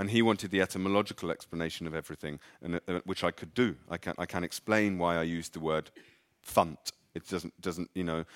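Very deep and low in pitch, a man with an English accent speaks very fast with fairly even intonation, in a very clean, dry, close recording with no echo and a silent background. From England. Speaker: author. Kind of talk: live literary conversation. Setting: stage with audience.

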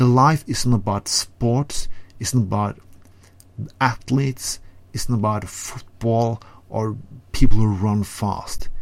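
With a Norwegian accent, a man talks in an animated tone at a fairly slow pace, medium in pitch with ordinary pitch variation. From Norway. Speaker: segment contributor. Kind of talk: ranting monologue.

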